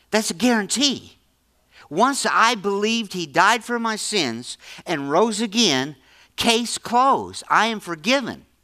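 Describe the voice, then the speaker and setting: A man's raised, projected voice, high-pitched and bright, sharp in tone, lively intonation, fairly slow pace, very clean recording with a silent background. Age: 70s. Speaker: pastor. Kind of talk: sermon. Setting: church. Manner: halting, repeats words.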